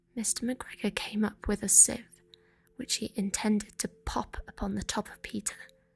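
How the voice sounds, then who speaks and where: Whispering and soft-spoken, this voice is somewhat breathy and moves at a moderate pace. Its loudness swings widely. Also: woman. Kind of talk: soft-spoken bedtime story reading. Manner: soft-spoken, whispered, gentle.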